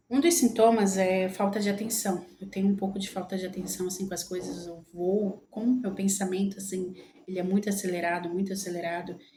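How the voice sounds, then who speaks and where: With noticeable background noise behind her, a woman of medium pitch talks at a fairly quick pace in a monotone, flat way with hardly any pauses. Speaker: lifestyle vlogger. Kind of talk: casual vlog talk. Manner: halting, many fillers.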